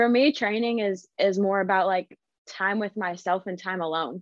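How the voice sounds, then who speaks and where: This woman speaks at a moderate pace, her medium pitch showing ordinary variation. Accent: American. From Ohio, Cleveland. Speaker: competitive weightlifter. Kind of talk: interview.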